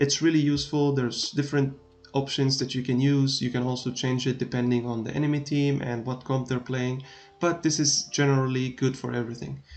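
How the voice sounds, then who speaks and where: Speaking at a fairly quick pace with a non-native accent, a man uses a medium pitch and a monotone, flat intonation. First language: not English. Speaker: gaming streamer. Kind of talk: tutorial. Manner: hesitant, many filler sounds. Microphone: laptop recording, not the best quality.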